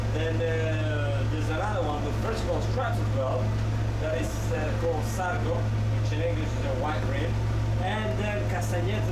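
A man talks at a fairly quick pace. The room echoes audibly, and loud background noise fills the recording. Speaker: boat tour guide. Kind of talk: tour guide commentary. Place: boat.

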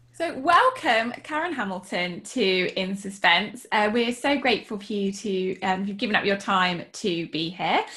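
Someone with a British accent talks at a fairly slow pace with lively intonation and hardly any pauses. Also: woman, medium pitch for a woman. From England. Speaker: podcast co-host and writer. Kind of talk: casual chat. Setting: video call. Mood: warm, friendly. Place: home room. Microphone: video call.

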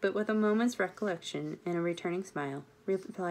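Ordinary pitch variation, reading aloud in a natural voice

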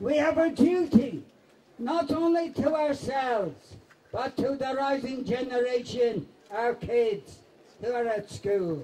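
Over light background noise, a man speaks very slowly at an extremely high pitch, his dark, mellow tone showing ordinary pitch variation. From East End of London. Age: 80s+. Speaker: anti-fascist veteran and former communist councillor. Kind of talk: political rally speech. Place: stage.

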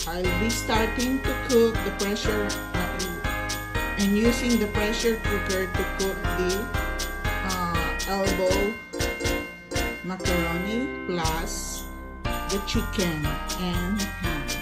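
Clear music plays in the background while the speech moves at a very slow pace. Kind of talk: cooking tutorial. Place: kitchen. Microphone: phone near.

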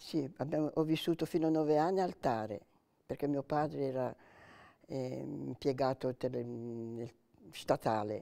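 With a dark, mellow tone and ordinary pitch variation, the voice moves at a fairly slow pace with long, frequent pauses against a quiet background. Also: woman, very deep, low pitch for a woman. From Italy, Liguria (Savona area, Carcare); Liguria. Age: 90s. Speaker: retired lab analyst, WWII witness; interviewee. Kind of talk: oral history interview; interview answer. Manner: halting. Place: home room. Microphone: lapel.

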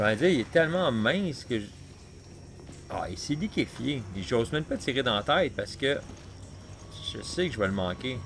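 A man with a Quebec accent, very wide pitch swings, a moderate pace with long, frequent pauses, and light background noise. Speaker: gaming youtuber; gamer. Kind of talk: let's play commentary. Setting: home recording with console near mic. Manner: casual, hesitant with many fillers.

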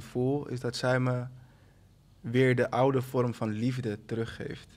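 Fairly slow delivery in a monotone, flat intonation. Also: man. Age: 30s. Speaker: writer and publisher, father; podcast guest. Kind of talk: casual chat. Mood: reflective, open about fatherhood. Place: studio. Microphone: studio mic.

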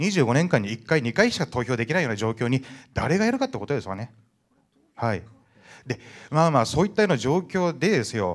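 Long, frequent pauses from a man with a fairly high pitch over a quiet background. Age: 50s. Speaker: merchant ship captain. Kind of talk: audience question at public meeting. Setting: indoor hall with audience. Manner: fast talker. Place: hall.

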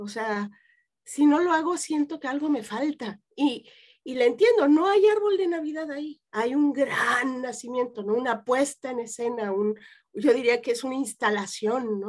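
Against a quiet background, a woman speaks at a fairly slow pace with a high pitch. Her intonation is lively and her loudness swings widely. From Mexico City. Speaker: psychotherapist; guest. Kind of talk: interview. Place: home room. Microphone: webcam.

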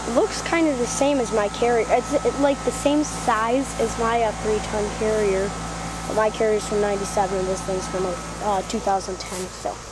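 The speech moves at a fairly slow pace. Loud background noise sits under a dry sound with no echo. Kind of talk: casual commentary. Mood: enthusiastic, informal. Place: garden. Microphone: phone near.

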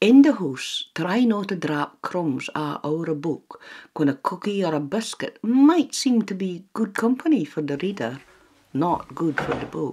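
A medium-pitched woman with a Shetland accent, very wide pitch swings and a fairly slow pace. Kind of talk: public information narration. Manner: playful, friendly.

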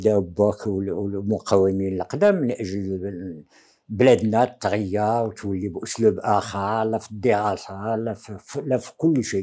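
A dark, mellow tone marks the man's voice. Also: quiet background. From Morocco, Taza; Morocco. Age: 80s+. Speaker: veteran independence activist; interviewee. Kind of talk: interview testimony. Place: home room. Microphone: lapel.

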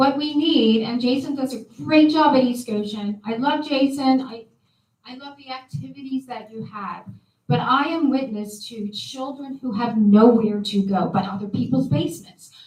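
A woman's high-pitched voice with big swings in loudness. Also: ordinary pitch variation, moderate pace. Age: 60s. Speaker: resident speaking at public comment. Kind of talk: public comment at township meeting.

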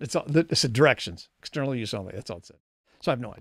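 Over a silent background in a very clean recording, a man speaks at a very fast pace with lively intonation, a fairly bright tone, vocal fry and a slightly husky edge. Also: medium pitch for a man.

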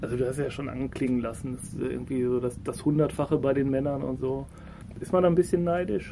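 Noticeable background noise surrounds a man at medium pitch. He talks at a very fast pace with ordinary pitch variation. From Ruhr area, Germany. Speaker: podcast host. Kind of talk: casual interview.

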